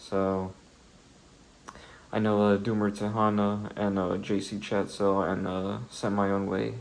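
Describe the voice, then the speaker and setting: Soft-spoken and fairly low in pitch, a man speaks at a fairly slow pace in a monotone, flat intonation with long, frequent pauses. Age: 20s. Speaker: solo video creator talking about philosophy. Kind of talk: casual vlog monologue. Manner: halting, many fillers.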